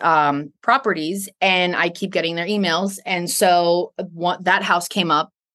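Against a quiet background, a woman speaks in a fairly low pitch. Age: 30s. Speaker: respiratory therapist and Air Force reservist. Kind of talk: interview. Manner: animated.

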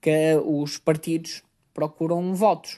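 A man speaks in a fairly high pitch with a dark, mellow tone. The background is quiet. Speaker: doctor and podcast host. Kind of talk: monologue explainer.

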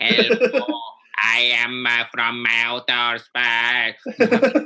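At a very slow pace, a man uses a put-on character voice at a medium pitch. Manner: alien-like, stilted.

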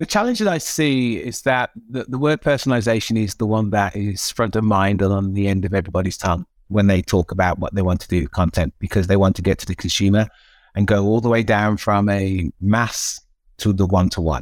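A man talks in an ordinary speaking voice at a fairly low pitch and a fairly quick pace, with ordinary pitch variation. The very clean recording has a silent background and a dry, close sound with no echo. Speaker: technology executive. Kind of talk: interview.

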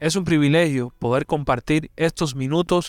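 A man at a fairly slow pace with ordinary pitch variation, in a plain, everyday voice, on a very clean recording with a silent background and a dry, close sound with no echo. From Cuba. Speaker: pastor. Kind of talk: sermon.

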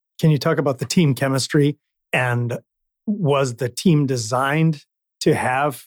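A man with an unremarkable speaking voice, medium in pitch with ordinary pitch variation, in a dry, close sound with no echo. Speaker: podcast host. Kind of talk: interview; scripted narration.

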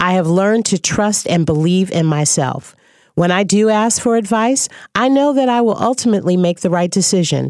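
A plain, everyday voice moves at a moderate pace with lively intonation. Its loudness stays very even. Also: woman, medium pitch for a woman. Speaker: acting coach and podcast host. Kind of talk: interview.

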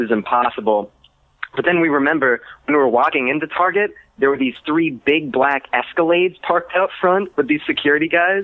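At a fairly quick pace, a man talks in an ordinary speaking voice with ordinary pitch variation and very even loudness. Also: fairly high pitch for a man. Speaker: caller. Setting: phone call.

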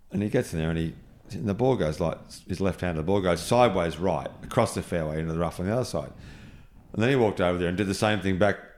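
A man with an Australian accent talks at a very fast pace with a very deep, low pitch. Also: ordinary pitch variation. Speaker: golf course architect. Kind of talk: casual chat. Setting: golf club compound during tournament.

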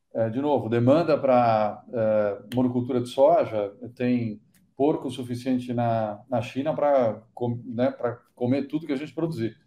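At a fairly slow pace, a man speaks in a normal speaking voice with a medium pitch and fairly even intonation. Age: 50s. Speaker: startup entrepreneur in cacao nutrition. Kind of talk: podcast interview.

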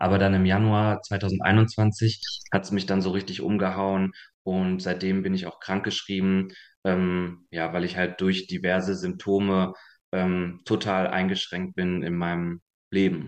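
At a fairly slow pace, a man speaks in a very deep, low voice with monotone, flat intonation. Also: quiet background. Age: 20s. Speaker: long COVID patient. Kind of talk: interview. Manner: halting.

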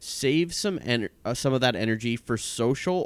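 An ordinary speaking voice with lively intonation, dry, close sound with no echo, and a very clean recording with a silent background. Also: man. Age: 20s. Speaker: podcast co-host. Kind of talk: casual chat. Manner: playful.

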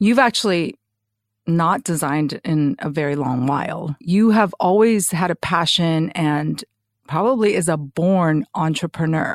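In a normal speaking voice, a woman speaks at a fairly low pitch and a fairly slow pace with lively intonation. The recording is very clean, with a silent background and a dry, close sound with no echo. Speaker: podcast host. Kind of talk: interview, scripted intro and casual chat.

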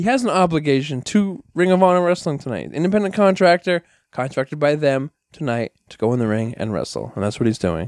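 A man with an American accent speaks at a fairly quick pace and a fairly high pitch, with very wide pitch swings and big swings in loudness, in a very clean recording with a silent background and a dry, close sound with no echo. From New York (Bronx). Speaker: wrestling trainer and promoter. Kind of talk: casual chat.

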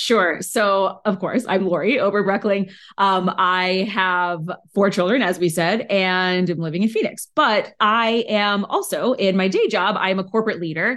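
A woman with a normal speaking voice at medium pitch, very even loudness, fairly even intonation and a moderate pace. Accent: American. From Arizona. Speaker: author and parenting guest. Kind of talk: podcast interview.

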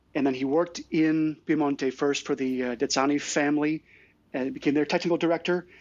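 A man with an American accent and a plain, everyday voice, pitched fairly high, against a quiet background. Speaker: wine importer. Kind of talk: casual chat. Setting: online audio chat room.

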